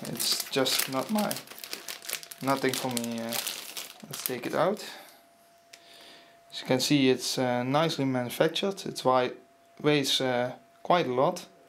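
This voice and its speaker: A man with a non-native accent talks fairly slowly at a medium pitch, with ordinary pitch variation, big swings in loudness and long, frequent pauses. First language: not English. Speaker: PC hardware hobbyist. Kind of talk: casual unboxing narration. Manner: hesitant, many filler sounds. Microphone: phone near.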